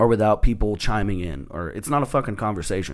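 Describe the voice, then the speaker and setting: Here a man talks at a fairly quick pace in a fairly low pitch. The recording is very clean with a silent background. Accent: Texan. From Texas. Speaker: stand-up comedian. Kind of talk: casual chat.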